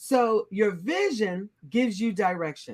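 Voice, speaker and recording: Using an ordinary speaking voice, a woman talks at a fairly high pitch with lively intonation. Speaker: leadership coach. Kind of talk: inspirational interview conversation.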